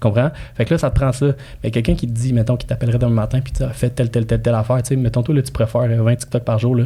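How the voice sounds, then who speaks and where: At a very fast pace, a man speaks at medium pitch in a dark, mellow tone that is somewhat breathy. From immigrant to Quebec. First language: not French (speaking French). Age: 30s. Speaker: real estate broker and marketing coach. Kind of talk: casual podcast interview. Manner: animated, colloquial.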